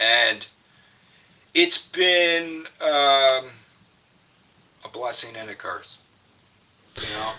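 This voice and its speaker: A fairly high-pitched man at a very slow pace, with long, frequent pauses, ordinary pitch variation, big swings in loudness and noticeable background noise. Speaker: stroke survivor. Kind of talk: interview. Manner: halting.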